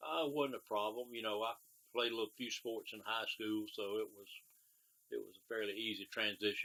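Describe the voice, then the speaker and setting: With a South Carolina accent, a man talks fairly quickly at a medium pitch, his bright, sharp tone paired with fairly even intonation and big swings in loudness. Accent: Southern US (South Carolina). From US South, South Carolina (Spartanburg County). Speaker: war veteran. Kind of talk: oral history interview. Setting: at his home. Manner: terse.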